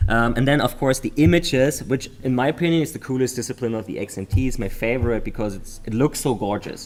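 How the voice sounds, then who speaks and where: Talking at a very fast pace with hardly any pauses, a man speaks with a German accent. His pitch is medium, with ordinary variation. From Germany. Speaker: memory sports commentator. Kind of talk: live commentary.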